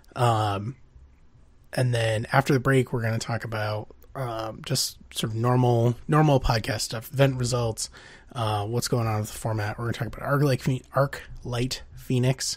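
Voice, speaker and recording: A man speaks at a medium pitch with a somewhat breathy voice. His intonation is fairly even and his pace moderate. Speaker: podcast co-host. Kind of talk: casual chat. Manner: casual, many fillers.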